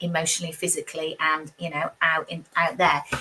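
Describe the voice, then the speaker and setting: A woman speaks with a British accent. Her pace is fairly quick. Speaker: tarot reader. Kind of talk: live tarot reading. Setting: livestream. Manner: fast.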